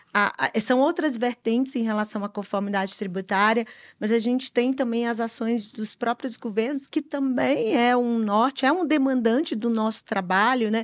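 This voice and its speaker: A strong Piauí accent at a moderate pace, with ordinary pitch variation and hardly any pauses. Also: woman, fairly high pitch for a woman. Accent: strong Piauí (northeastern Brazilian). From Brazil, Piauí. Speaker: tax compliance consultant, company partner. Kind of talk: podcast interview. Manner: halting, repeats words.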